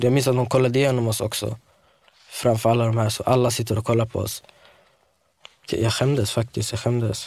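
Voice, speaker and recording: A man talks at a fairly quick pace with medium pitch. His intonation is monotone and flat, and his voice is somewhat breathy. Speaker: local resident witness. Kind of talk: interview testimony.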